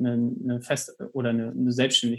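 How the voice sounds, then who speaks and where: A man's medium-pitched voice in a monotone, flat intonation at a fairly slow pace. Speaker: podcast co-host, student entrepreneur. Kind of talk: casual chat.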